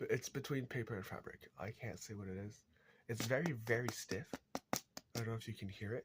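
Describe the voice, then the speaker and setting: A man talks at a fairly quick pace and medium pitch. His voice is somewhat breathy, with ordinary pitch variation. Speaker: crafter, video creator. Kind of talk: tutorial demonstration. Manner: halting, many fillers.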